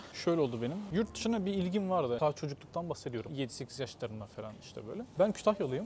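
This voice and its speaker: Speaking very fast with hardly any pauses, a man uses a fairly high pitch and very wide pitch swings. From Istanbul, Turkey (born in Kütahya). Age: 20s. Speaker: mechanical engineer. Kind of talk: casual interview. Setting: outdoors, walking on a street.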